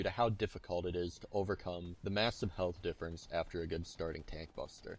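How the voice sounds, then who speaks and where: There is music in the background. A man talks at a fairly quick pace. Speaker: gaming tutorial creator. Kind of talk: video game tutorial narration.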